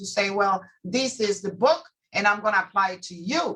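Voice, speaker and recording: Bright and sharp in tone, a woman talks at a fairly slow pace with lively intonation. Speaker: immigration attorney. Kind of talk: interview. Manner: loud, clear.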